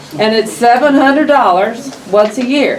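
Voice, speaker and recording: A high-pitched woman with an American accent, very slow, with ordinary pitch variation, audible room echo and noticeable background noise. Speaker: county official representing a town. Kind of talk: public meeting address. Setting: county meeting room.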